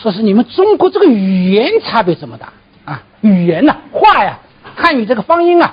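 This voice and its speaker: This woman's voice rises and falls. Her pitch swings are very wide. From Zhejiang, China (Wu dialect area). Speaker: professor. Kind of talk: lecture.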